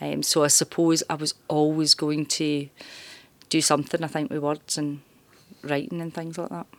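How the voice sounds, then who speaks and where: With a Glaswegian accent, a woman speaks in a very deep, low voice with fairly even intonation. The recording is very clean, with a silent background and a dry, close sound with no echo. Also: moderate pace. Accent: Glaswegian Scottish. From Glasgow, Scotland. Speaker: journalism lecturer. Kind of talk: interview. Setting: university campus.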